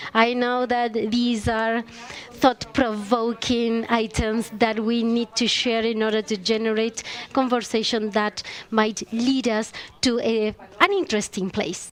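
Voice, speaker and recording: In a Chilean accent, a woman with a fairly high pitch speaks at a fairly slow pace and with fairly even intonation. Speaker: panelist. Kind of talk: panel discussion.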